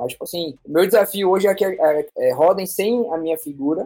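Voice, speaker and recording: Lively intonation from a man with a high voice and a dark, mellow tone. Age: 20s. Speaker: entrepreneur and designer. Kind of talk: casual interview.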